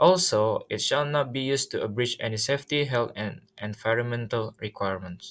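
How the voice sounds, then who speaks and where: In a very clean recording with a silent background, a man with an Indonesian accent talks at a moderate pace, his pitch medium with ordinary pitch variation. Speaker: student. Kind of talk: presentation. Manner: halting, many fillers.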